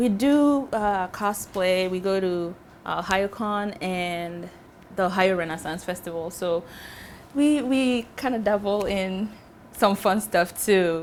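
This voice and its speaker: A woman speaks at a very slow pace. Her medium pitch shows ordinary variation. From Ghana. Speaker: fashion designer. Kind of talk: interview testimony.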